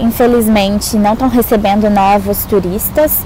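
A woman's medium-pitched voice holds fairly even intonation against noticeable background noise. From Brazil, Minas Gerais. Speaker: exchange student. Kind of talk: testimonial vlog.

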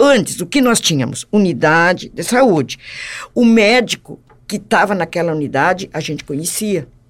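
On a very clean recording with a silent background, a woman speaks at a moderate pace. Her pitch swings very widely. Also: medium pitch for a woman. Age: 70s. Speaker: community association leader. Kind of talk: casual interview chat.

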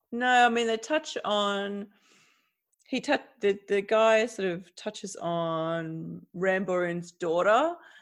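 A woman speaks very slowly with an Australian accent, her medium-pitched voice carrying lively intonation on a very clean recording with a silent background. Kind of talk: casual chat.

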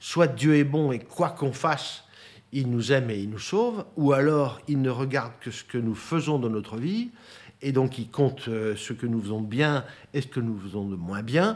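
The speaker uses a normal speaking voice with lively intonation. The pace is moderate. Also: man. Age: 60s. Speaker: property development executive. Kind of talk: interview testimony.

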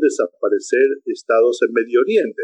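The recording of this man has a dry, close sound with no echo. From Argentina (Buenos Aires) and Chile. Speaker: political science professor. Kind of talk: interview.

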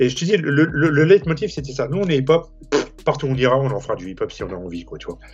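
A man talks at a very fast pace and a fairly high pitch, with vocal fry. His pitch swings very widely and his loudness rises and falls in big swings. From Saint-Denis, Paris suburbs, France. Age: 50s. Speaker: magazine founder. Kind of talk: casual interview.

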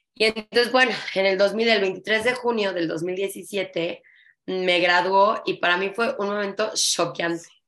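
A woman's unremarkable speaking voice, medium in pitch, fairly slow and fairly even in intonation, against a quiet background. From Mexico. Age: 30s. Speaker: flamenco dancer and dance teacher. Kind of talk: casual interview chat.

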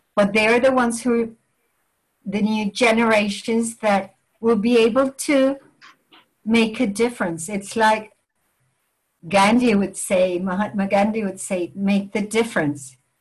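A woman with a fairly high, somewhat breathy voice speaks at a fairly slow pace with ordinary pitch variation and long, frequent pauses. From Venezuela, raised partly in England. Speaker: language teacher and department head. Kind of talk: interview.

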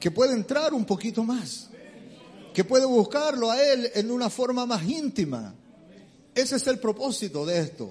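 This man's pitch is extremely high, and his intonation is lively. He keeps a moderate pace broken by long, frequent pauses. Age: 50s. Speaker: preacher. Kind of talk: sermon.

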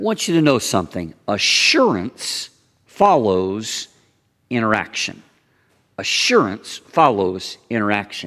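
Using lively intonation and long, frequent pauses, a man with a Southern US accent speaks at a medium pitch in a very clean recording with a silent background. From US South, Kentucky/Tennessee border. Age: 50s. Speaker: pastor. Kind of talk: sermon. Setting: church.

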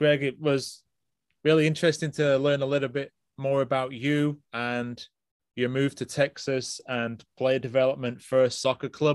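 The voice moves at a moderate pace with monotone, flat intonation. The recording is very clean, with a silent background. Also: man, fairly high pitch for a man. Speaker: podcast host, youth soccer coach. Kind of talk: interview, casual chat.

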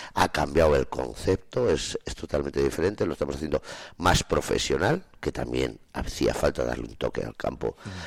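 A man's voice swings very widely in pitch, with vocal fry, at a moderate pace. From Spain, Soria province. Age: 50s. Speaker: farmer. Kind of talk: radio interview. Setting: studio.

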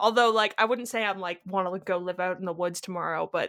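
A woman with a Canadian accent has a normal speaking voice at medium pitch with ordinary pitch variation, on a very clean recording with a silent background. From Ontario, Canada. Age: 20s. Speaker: podcast co-host, product designer. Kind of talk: casual chat.

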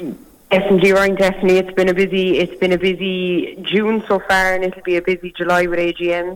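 Fairly quick speech in a Cork accent, with hardly any pauses. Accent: Cork Irish. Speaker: youth rural organisation chairperson. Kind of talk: phone interview. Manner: fluent, measured, with filler 'um'.

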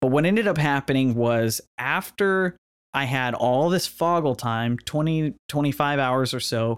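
The man has a plain, everyday voice, fairly high in pitch, with ordinary pitch variation and very even loudness. He talks at a fairly slow pace in a very clean recording with a silent background. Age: 30s. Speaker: podcast host, student pilot. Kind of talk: solo monologue podcast.

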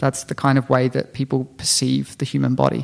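This man speaks with an Australian accent. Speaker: health-tech startup founder. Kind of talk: interview.

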